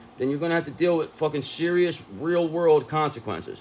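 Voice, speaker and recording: Loud and fairly quick, a man talks in a high pitch. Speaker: tarot reader. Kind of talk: tarot reading monologue. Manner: animated.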